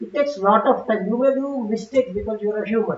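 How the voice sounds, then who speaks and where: Ordinary pitch variation in a Telugu accent. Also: woman. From South India. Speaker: conference speaker, technology executive. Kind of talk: conference talk. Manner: conversational, frequent fillers.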